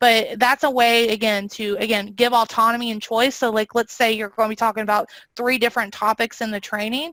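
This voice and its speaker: A woman's fairly high, bright and sharp voice at a fairly quick pace with hardly any pauses, dry and close with no echo. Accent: slight Southern US. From US South. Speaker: training and learning design presenter. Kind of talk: webinar presentation with Q&A. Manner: fast when excited; animated.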